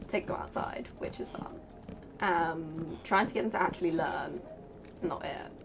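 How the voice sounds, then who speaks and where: A woman with a British accent speaks at a fairly slow pace over noticeable background noise. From Britain. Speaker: streamer. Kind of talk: casual chat.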